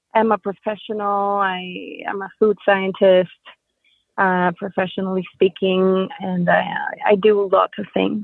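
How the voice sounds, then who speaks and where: In a Spanish accent, a woman speaks at a medium pitch and a fairly slow pace with monotone, flat intonation. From Dominican Republic. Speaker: doula. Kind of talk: interview. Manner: careful, deliberate in English.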